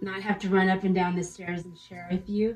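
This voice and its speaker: At a moderate pace, a woman speaks in a monotone, flat intonation with faint music in the background. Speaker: fashion vlogger. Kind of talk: casual vlog chat. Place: bathroom. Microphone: phone near.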